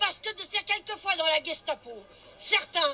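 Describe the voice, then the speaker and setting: Using a raised, projected voice, a woman speaks with lively intonation. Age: 60s. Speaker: street protester. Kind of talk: impromptu street rant to camera. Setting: outdoors on a street. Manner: animated.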